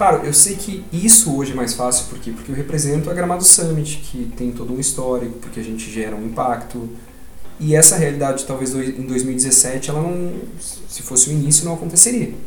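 A man speaks at a fairly quick pace in a fairly high voice with lively intonation, with noticeable background noise and audible room echo. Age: 30s. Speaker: entrepreneur. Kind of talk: casual chat. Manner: talks a lot.

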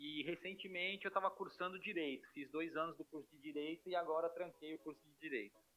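A high-pitched man talks with hardly any pauses and big swings in loudness. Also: ordinary pitch variation. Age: 40s. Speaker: futsal goalkeeper. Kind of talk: casual interview. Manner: halting, repeats words.

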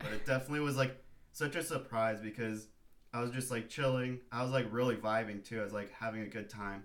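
In a room with audible echo, a man speaks fairly quickly at a medium pitch with fairly even intonation. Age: 20s. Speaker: surfer and photographer. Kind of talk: casual chat.

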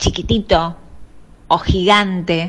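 This woman has a medium pitch. Her intonation is fairly even. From Argentina, La Plata. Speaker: professional body piercer. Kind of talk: interview testimony. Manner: halting.

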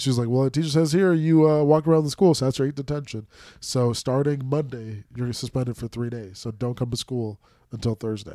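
Dark, mellow tone at a fairly quick pace, with ordinary pitch variation, on a very clean recording with a silent background. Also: man, medium pitch for a man. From Minnesota, US. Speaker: podcast co-host, former teacher. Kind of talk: casual chat. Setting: studio. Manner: animated.

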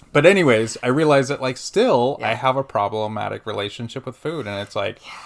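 A man with an American accent talks in an ordinary speaking voice at a medium pitch and a fairly quick pace. There are hardly any pauses, big swings in loudness and ordinary pitch variation. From California Central Coast. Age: 30s. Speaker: hospital nurse, intern. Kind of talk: casual chat. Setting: apartment, sitting close together.

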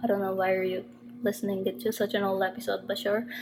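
A woman speaks with fairly even intonation. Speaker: podcast host. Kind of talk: casual monologue. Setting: temporary place in another city.

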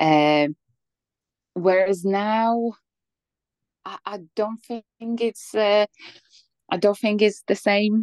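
A woman with a Polish accent, medium pitch and ordinary pitch variation, very slow with long, frequent pauses, big swings in loudness, and a dry, close sound with no echo. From Poland. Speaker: former migrant, office worker. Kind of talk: interview. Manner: hesitant, many fillers.

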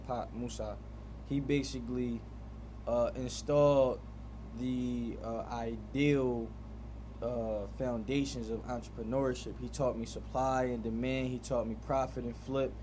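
A man talks at a fairly slow pace with audible room echo. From Philadelphia, US. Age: 20s. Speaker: barber. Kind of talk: casual interview.

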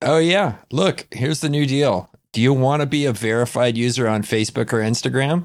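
With an ordinary speaking voice, a man talks at a medium pitch and a fairly quick pace with hardly any pauses. His pitch variation is ordinary, his loudness very even, and the recording very clean with a silent background. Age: 40s. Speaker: podcast co-host. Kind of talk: casual chat.

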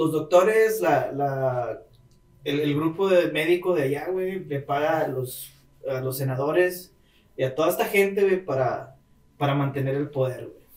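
At a fairly slow pace, a man talks in a plain, everyday voice, fairly high in pitch with ordinary pitch variation. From Monterrey, Mexico. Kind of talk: casual chat.

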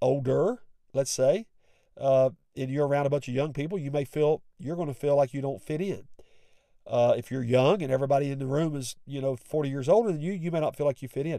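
This man speaks with a West Virginia accent and a dark, mellow tone. His pitch is fairly high and his pace fairly quick. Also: ordinary pitch variation. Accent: West Virginian Appalachian. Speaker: pastor and podcast host. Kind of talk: sermon-like devotional talk with prayer.

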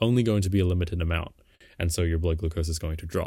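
Dark and mellow in tone, a very deep, low male voice. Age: young. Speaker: podcast co-host. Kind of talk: explainer on biology. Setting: remote call.

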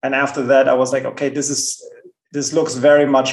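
Speaking fairly quickly with a German accent, a man uses a fairly high pitch and a monotone, flat intonation. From Germany. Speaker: bitcoin entrepreneur. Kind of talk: interview. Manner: halting, repeats words.

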